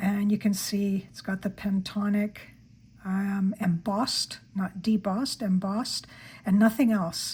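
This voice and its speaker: A woman speaks fairly slowly at medium pitch in a somewhat breathy voice. Her intonation is monotone and flat. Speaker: stationery YouTuber. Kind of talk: product haul review. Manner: hesitant, with fillers.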